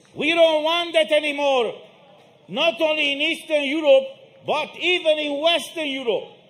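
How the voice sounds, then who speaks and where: Over noticeable background noise, a man with an extremely high pitch and ordinary pitch variation talks at a moderate pace. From Romania. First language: Romanian. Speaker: protest speaker. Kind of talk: rally speech. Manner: emphatic.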